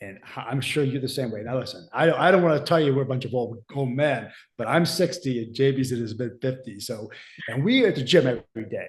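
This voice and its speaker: A man's somewhat breathy, medium-pitched voice at a moderate pace, with ordinary pitch variation. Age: 60s. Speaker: fitness coach and podcast host. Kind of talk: casual podcast discussion.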